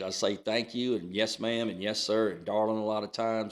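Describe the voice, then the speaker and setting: With a strong Southern US accent, a man talks at a fairly quick pace in a fairly low pitch and fairly even intonation. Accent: thick Southern US. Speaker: county commissioner. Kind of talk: casual interview.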